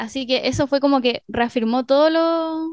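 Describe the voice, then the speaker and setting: A woman speaks at a high pitch with ordinary pitch variation and a fairly slow pace. The sound is dry and close, with no echo. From northern Chile (Arica, Mejillones). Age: 20s. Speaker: composer and musician. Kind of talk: radio interview. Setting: radio studio.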